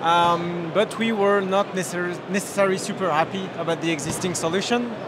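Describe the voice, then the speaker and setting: Over noticeable background noise and audible room echo, a man with a strong French accent talks at a high pitch and fairly quick pace with fairly even intonation. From France. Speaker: software company co-founder and CEO. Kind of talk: interview. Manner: hesitant, many fillers.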